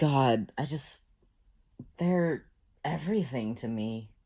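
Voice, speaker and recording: On a very clean recording with a silent background, the voice comes out shaky at a very slow pace. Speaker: musician. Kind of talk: casual talk to camera.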